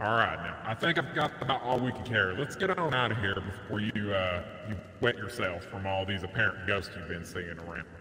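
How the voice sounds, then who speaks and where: A man talks at a fairly quick pace with a fairly low pitch. There is clear background noise and a slight echo. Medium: game stream. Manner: grumpy, dismissive.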